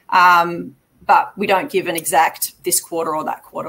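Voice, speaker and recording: A woman speaks with an Australian accent. Her voice is fairly low-pitched, with a bright, sharp tone. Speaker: mining company executive. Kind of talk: investor Q&A. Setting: live online investment summit.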